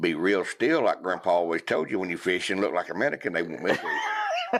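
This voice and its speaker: The speaker is a man with a Southern US accent. He talks at a fairly quick pace over noticeable background noise. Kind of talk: podcast conversation.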